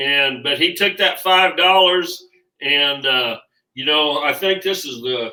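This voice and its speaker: Very slowly, a man talks with a Kansas accent and a bright, sharp tone. His intonation is lively. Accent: rural Midwestern (Kansas). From Kansas, Abbyville. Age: 60s. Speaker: rodeo veteran. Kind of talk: casual chat.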